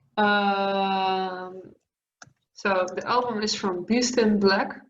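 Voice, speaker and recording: A woman with a Dutch accent speaks very slowly in a monotone, flat intonation, with audible room echo. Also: medium pitch for a woman. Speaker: metal singer. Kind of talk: interview. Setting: video call.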